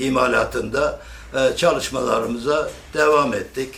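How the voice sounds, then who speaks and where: Noticeable background noise accompanies speech delivered very slowly. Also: man. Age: 70s. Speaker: lathe craftsman and former local politician. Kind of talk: interview answer.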